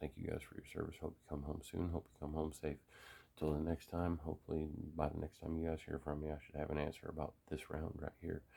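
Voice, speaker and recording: A quiet man at a very fast pace, very deep and low in pitch with a dark, mellow tone, monotone, flat intonation and big swings in loudness. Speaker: gun hobbyist video maker. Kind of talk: casual tutorial. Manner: quiet, subdued.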